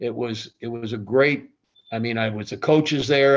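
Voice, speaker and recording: With an American accent, an ordinary speaking voice proceeds at a moderate pace, its pitch varying in an ordinary way. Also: man. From Ohio. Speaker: retired athletic director. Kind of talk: interview storytelling.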